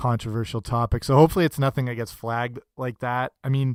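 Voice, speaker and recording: An ordinary speaking voice with fairly even intonation is heard in a very clean recording with a silent background. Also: man. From Canada. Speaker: podcast host. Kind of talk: solo podcast monologue. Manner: casual, with frequent fillers and restarts.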